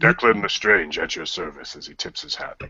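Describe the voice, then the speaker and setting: A man uses a put-on character voice at fairly low pitch. He keeps a moderate pace with big swings in loudness. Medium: actual play.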